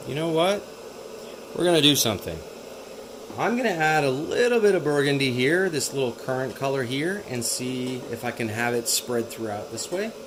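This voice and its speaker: A man with a fairly high pitch speaks at a moderate pace with lively intonation. Noticeable background noise and audible room echo are present. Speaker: artist. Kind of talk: tutorial. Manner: whispering; casual, thinking aloud.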